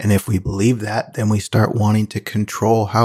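Using a normal speaking voice, a man speaks at a medium pitch and a moderate pace with fairly even intonation on a very clean recording with a silent background. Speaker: meditation teacher. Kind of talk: guided meditation. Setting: live video broadcast.

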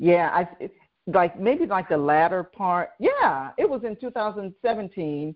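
A woman talks fairly slowly at a medium pitch. Hers is a plain, everyday voice. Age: 60s. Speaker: podcast host and business coach. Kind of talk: interview.

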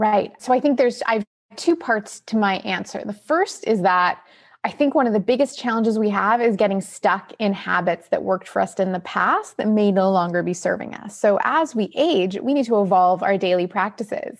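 A woman with a plain, everyday voice and a Canadian accent speaks at a moderate pace, her pitch fairly high and her pitch variation ordinary. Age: 40s. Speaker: nutritionist and author. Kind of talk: interview.

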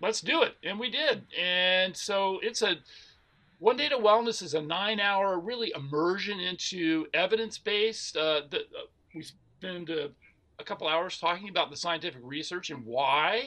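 A man's raised, projected voice with an American accent, high in pitch, bright and sharp in tone, at a moderate pace with lively intonation. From US South, Atlanta, Georgia. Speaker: plant-based nutrition educator. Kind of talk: interview.

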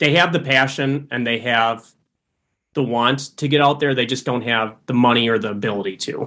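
Man in an Upper Midwest accent, medium pitch, ordinary pitch variation, moderate pace. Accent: Upper Midwest American. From Wisconsin, Green Bay. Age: 20s. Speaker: hunting social media influencer. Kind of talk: casual interview chat.

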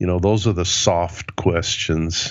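A man talks at a moderate pace. He has an ordinary speaking voice. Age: 60s. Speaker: leadership author and speaker. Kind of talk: interview.

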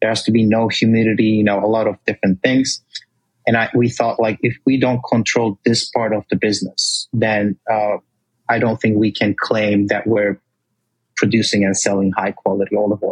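Speaking with a Turkish accent, a man talks at a moderate pace and fairly low pitch in a monotone, flat intonation, his loudness very even and the sound dry and close with no echo. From Turkey. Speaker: olive oil company founder. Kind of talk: interview.

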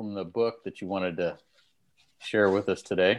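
A man with an ordinary speaking voice talks at a moderate pace. The background is quiet. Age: 60s. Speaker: podcast co-host, career and business coach. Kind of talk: casual chat.

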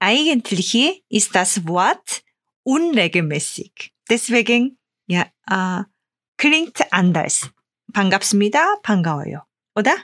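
A woman's medium-pitched voice in a Korean accent, very slow with long, frequent pauses, very even in loudness but very wide in its pitch swings. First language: Korean (speaking German). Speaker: Korean language teacher. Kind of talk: language lesson. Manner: halting.

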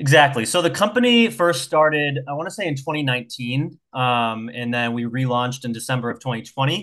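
A bright, sharp tone at a fairly quick pace against a quiet background. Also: man. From New Hampshire. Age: 20s. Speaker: sales director. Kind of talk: interview.

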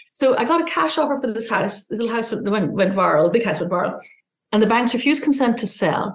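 A woman with an Irish accent speaks at a very fast pace with lively intonation. Her voice is somewhat breathy. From Ireland. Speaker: journalist and publication founder. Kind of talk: interview.

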